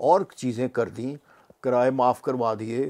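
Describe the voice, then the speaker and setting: This man's voice has a dark, mellow tone, and nothing can be heard behind it. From Pakistan. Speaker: retired judge, former human rights commission chairman; retired judge. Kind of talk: interview. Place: home room.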